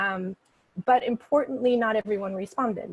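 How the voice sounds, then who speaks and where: Her voice is somewhat breathy, and this woman varies her pitch in an ordinary way. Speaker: clinical psychologist presenting research. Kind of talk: research seminar talk. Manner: halting, many fillers.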